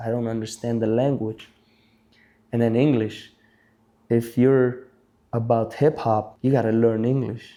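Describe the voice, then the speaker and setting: A man with a medium pitch speaks at a moderate pace in a dark, mellow tone, his intonation flat and monotone. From Albania, moved to Belgium at eight. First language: Albanian. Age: 30s. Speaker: breakdancer, event MC and judge. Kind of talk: interview conversation.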